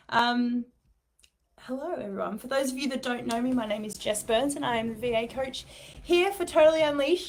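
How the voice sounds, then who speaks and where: With an Australian accent, a woman speaks at a fairly quick pace in a high pitch. Her pitch varies in an ordinary way. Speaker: business coach. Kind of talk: live stream talk. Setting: office, live video.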